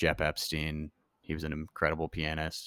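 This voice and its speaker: A man with an American accent has a very deep, low pitch. The recording is very clean with a silent background and a dry, close sound with no echo. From US South, New Orleans and Memphis. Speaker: musician. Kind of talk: casual chat.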